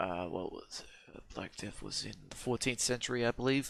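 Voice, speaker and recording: The speaker is a man. He has an Australian accent. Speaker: history reaction youtuber. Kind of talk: video reaction commentary. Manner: hesitant, many fillers.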